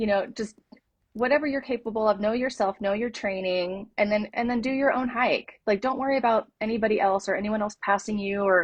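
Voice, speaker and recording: At a fairly quick pace, a woman with an American accent speaks in a somewhat breathy voice at a fairly high pitch with fairly even intonation. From California. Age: 50s. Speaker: hiker. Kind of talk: interview storytelling. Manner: hesitant fillers.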